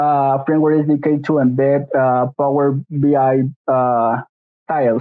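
This man talks at a fairly slow pace with a Spanish accent. His intonation stays fairly even. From Mexico. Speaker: software engineering intern. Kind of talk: tech demo. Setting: video call. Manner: halting.

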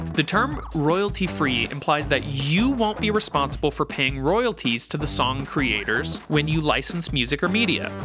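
Over background music, a man talks at a moderate pace with hardly any pauses and very even loudness. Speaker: video host. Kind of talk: tutorial. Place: studio. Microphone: studio mic.

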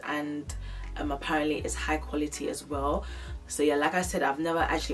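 A woman speaks at a fairly quick pace while clear music plays in the background. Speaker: fashion haul vlogger. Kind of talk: casual vlog chat. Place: home room.

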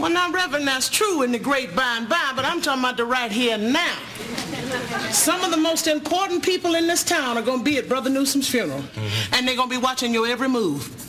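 A woman speaks in a raised, projected voice at a very fast pace over noticeable background noise. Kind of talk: sitcom dialogue. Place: studio.

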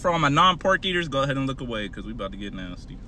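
A man's voice sounds dry with no echo, and clear music plays in the background. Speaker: food reviewer. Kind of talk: casual vlog chat. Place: car. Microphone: phone near.

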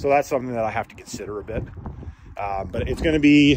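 Noticeable background noise sits behind a man talking at a very fast pace, his pitch varying in an ordinary way and the sound dry with no echo. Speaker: mechanic vlogger. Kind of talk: casual vlog chat. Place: street. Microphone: phone near.

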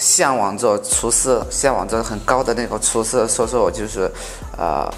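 Faint music sits in the background. A man speaks at a fairly slow pace. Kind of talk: interview answer. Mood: proud, reflective. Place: cafe. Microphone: lapel.

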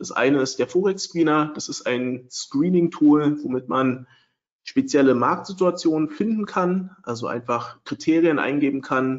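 A man with a normal speaking voice, fairly high in pitch, at a fairly slow pace with ordinary pitch variation. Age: 30s. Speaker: trading software developer and webinar presenter. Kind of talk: webinar lecture. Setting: online webinar with screen sharing.

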